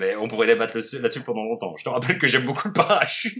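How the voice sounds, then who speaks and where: Man speaking at a very fast pace with very wide pitch swings. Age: 30s. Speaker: board game illustrator. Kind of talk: casual interview. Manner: halting, many fillers.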